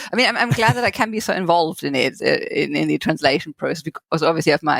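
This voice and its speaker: A woman speaks in a German accent, the sound dry and close with no echo. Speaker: novelist. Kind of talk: interview. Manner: halting.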